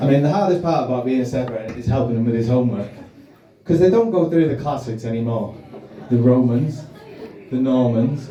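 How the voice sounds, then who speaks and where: Delivered at a fairly quick pace with ordinary pitch variation, the speech breaks into long, frequent pauses amid audible room echo and noticeable background noise. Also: man. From Wales. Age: 30s. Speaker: stand-up comedian. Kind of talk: stand-up. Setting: stage with audience.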